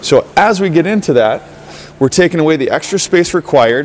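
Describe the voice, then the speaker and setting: A man at a moderate pace with ordinary pitch variation and light background noise. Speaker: hockey skating coach. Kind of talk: tutorial. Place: stadium.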